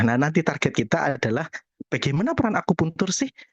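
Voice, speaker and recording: A male voice comes across as somewhat breathy. It moves at a fairly quick pace. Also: dry, close sound with no echo. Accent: Javanese. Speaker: acupuncturist. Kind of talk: webinar talk. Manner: casual.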